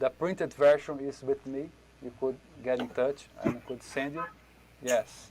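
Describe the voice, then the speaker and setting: This man has a Brazilian accent and a fairly high pitch, with ordinary pitch variation at a fairly slow pace. There is noticeable background noise. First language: Portuguese. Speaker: drum teacher. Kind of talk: online workshop. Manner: halting.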